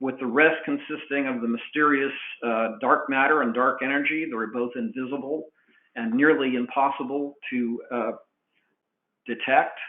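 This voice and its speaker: At a moderate pace, a man speaks with a medium pitch and fairly even intonation. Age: 60s. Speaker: cost estimating professional. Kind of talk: webinar presentation. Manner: halting, many fillers.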